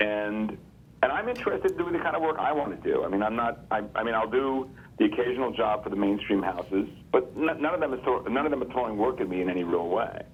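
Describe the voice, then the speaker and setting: Amid noticeable background noise, a man talks at a very fast pace. His medium-pitched voice has lively intonation. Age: 60s. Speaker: comic book artist and writer. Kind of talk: casual chat. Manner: halting, many repeated words.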